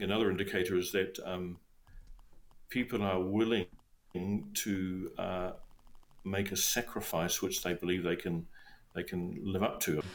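A man with a very deep, low pitch talks at a fairly slow pace in a monotone, flat intonation, leaving long, frequent pauses. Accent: New Zealand. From New Zealand, South Island. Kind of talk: interview.

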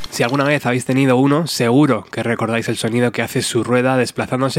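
Over noticeable background noise, a man speaks fairly quickly with monotone, flat intonation. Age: 40s. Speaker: podcast host. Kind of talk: scripted narration.

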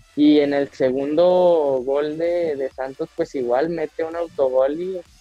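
With a Mexican accent, a man speaks at a fairly high pitch and with fairly even intonation. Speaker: football podcast co-host. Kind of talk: casual chat. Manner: halting.

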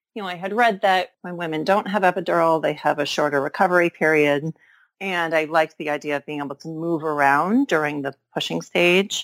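Recorded very clean with a silent background and a dry, close sound with no echo, a woman with an American accent speaks at a moderate pace and a fairly low pitch. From Massachusetts. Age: 40s. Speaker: veterinarian. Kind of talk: interview. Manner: halting.

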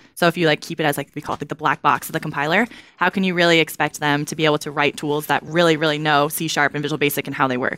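Speaking at a very fast pace with hardly any pauses, a woman uses a very deep, low pitch, a bright, sharp tone and fairly even intonation in a dry, close sound with no echo. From Kentucky, Louisville. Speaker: software program manager. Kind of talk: technical interview. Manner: casual, frequent filler words.

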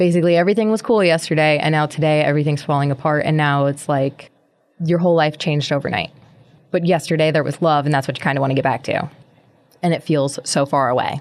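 Very fast and very even in loudness, a woman speaks in a very deep, low pitch with fairly even intonation. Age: 30s. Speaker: podcast host. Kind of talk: solo monologue podcast.

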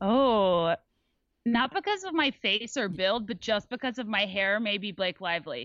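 A woman with a normal speaking voice, lively intonation and a medium pitch. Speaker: podcaster. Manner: articulate.

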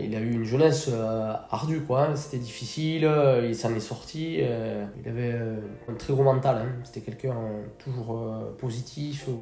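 At a fairly slow pace and with ordinary pitch variation, the voice comes through noticeable background noise and audible room echo. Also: man, medium pitch for a man. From French Basque Country, Bidart. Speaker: firefighter and sea-trip boat captain. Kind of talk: interview.

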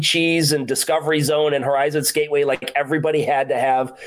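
A man with an American accent talks fairly quickly in a plain, everyday voice at a fairly high pitch. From Rochester, New York. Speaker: podcast host. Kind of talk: casual chat.

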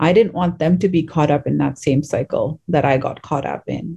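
At a moderate pace, a woman speaks with a very deep, low pitch in a dark, mellow, somewhat breathy tone. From Abu Dhabi, UAE. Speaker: author, speaker and human rights advocate. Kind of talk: interview testimony.

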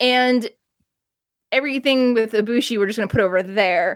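In an American accent, an unremarkable speaking voice moves at a fairly quick pace, recorded dry and close with no echo. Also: woman. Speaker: wrestling journalist. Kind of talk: casual chat.

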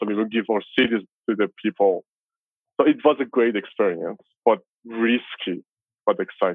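A man's medium-pitched voice with a Persian accent and fairly even intonation. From Iran, Tehran. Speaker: filmmaker and former metal musician. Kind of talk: interview.

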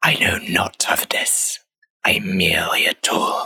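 A put-on character voice, raspy and hissing, comes out at a fairly slow pace. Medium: actual play. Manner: hissing, curt.

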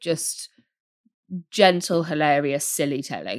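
Here a woman talks with a British accent. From United Kingdom. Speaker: podcast host. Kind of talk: casual chat.

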